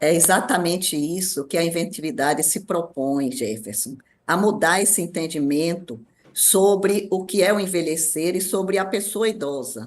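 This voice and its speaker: A woman with a normal speaking voice talks at a moderate pace, her fairly low pitch carrying lively intonation. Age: 60s. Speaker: ageing specialist. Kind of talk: radio interview.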